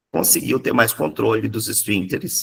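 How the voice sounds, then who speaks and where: A man talks at a fairly slow pace in a Minas Gerais accent. The sound is dry and close, with no echo. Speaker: psychoanalysis teacher. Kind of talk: lecture. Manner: animated.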